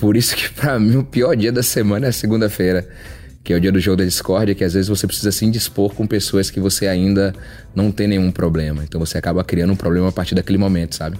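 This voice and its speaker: The voice moves at a very fast pace with ordinary pitch variation. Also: man, fairly low pitch for a man. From Salvador, Bahia, Brazil. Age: 30s. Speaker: reality show contestant. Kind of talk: casual monologue to camera.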